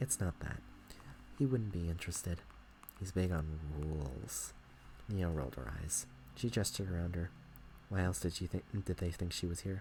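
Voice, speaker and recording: A soft-spoken, somewhat breathy man talks at a moderate pace with a very deep, low pitch and very wide pitch swings. He leaves long, frequent pauses. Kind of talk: bedtime story reading. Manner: soft, relaxing ASMR voice.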